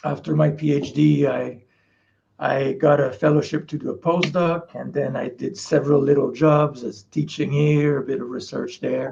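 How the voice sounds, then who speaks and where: A man with a Quebec accent speaks at a moderate pace in a fairly high pitch, his fairly even intonation carried by a dark, mellow, somewhat breathy tone. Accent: French Canadian accent in English. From Quebec, Canada. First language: French. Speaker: parasitologist professor. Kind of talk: interview.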